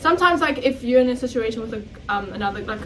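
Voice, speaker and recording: A woman speaks with ordinary pitch variation. Noticeable background noise and audible room echo come through. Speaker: podcast co-host. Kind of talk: casual chat. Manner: loud.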